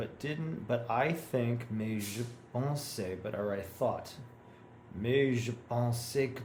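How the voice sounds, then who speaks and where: A man at a very slow pace with an American accent, ordinary pitch variation, and audible room echo. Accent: American accent when speaking French. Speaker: language learner. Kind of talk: reading practice with commentary. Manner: halting.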